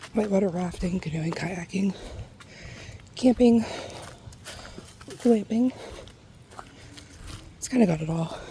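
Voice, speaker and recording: Soft-spoken, a woman talks with long, frequent pauses and big swings in loudness while noticeable background noise runs behind her. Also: medium pitch for a woman, ordinary pitch variation. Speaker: ASMR creator. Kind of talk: ASMR soft talking during a nature hike. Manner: soft-spoken, relaxed.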